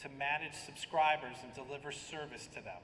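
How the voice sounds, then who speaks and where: A man with an American accent at a fairly quick pace, amid noticeable background noise and audible room echo. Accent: American, noticeable to local audience. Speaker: software product director. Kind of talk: conference presentation. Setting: conference stage at podium.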